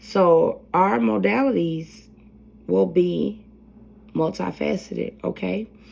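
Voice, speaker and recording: A soft-spoken woman. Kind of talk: educational presentation.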